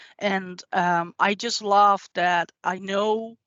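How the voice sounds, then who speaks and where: A woman with a Dutch accent speaks at medium pitch with fairly even intonation. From Netherlands. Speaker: IT consultant. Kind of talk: tech demo presentation.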